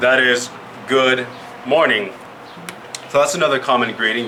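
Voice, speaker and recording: Audible room echo and noticeable background noise accompany this man as he talks. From Yakima Valley, Washington. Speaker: Native language and culture educator. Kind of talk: presentation to children.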